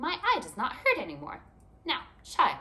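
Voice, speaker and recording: A woman speaks in a put-on character voice pitched extremely high. It sounds shrill, and her pace is moderate. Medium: read story.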